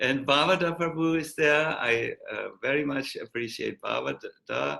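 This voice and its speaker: Here a man talks with a German accent. He keeps a fairly slow pace. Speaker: monk and spiritual teacher. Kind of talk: online talk farewell. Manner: halting, many fillers.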